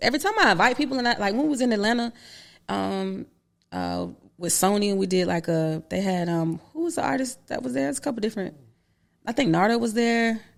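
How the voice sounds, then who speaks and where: A woman's medium-pitched voice with a Florida accent, very wide pitch swings and a fairly quick pace, in a very clean recording with a silent background. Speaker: rapper and actress. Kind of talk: podcast interview. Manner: casual, slangy.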